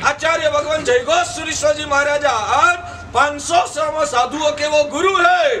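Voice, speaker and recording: A man's raised, projected voice at an extremely high pitch, with noticeable background noise. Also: ordinary pitch variation. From Gujarat, India. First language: Gujarati (speaking Hindi). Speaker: Jain monk. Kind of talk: religious discourse.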